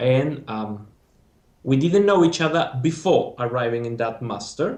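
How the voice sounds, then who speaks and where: A man with a Spanish accent speaks at a medium pitch with lively intonation. His pace is fairly slow, and audible room echo surrounds him. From Spain. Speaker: former master's student. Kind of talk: interview.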